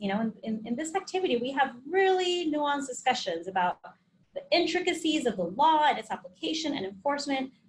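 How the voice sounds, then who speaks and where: Her pitch is high and swings very widely. The woman talks at a fairly quick pace. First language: Spanish. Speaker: occupational health trainer. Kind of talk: webinar presentation. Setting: online webinar. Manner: conversational.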